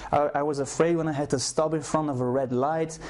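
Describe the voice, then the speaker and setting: A man with a Flemish Belgian accent, over noticeable background noise. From Belgium (Flemish, Brussels). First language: Flemish (Dutch). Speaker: self-help program creator. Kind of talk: personal testimony / sales video. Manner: hesitant, with repetitions.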